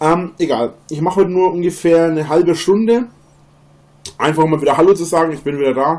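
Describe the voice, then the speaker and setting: At a fairly quick pace, a man talks in a dark, mellow tone. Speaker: live streamer. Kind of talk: casual livestream chat. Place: home room.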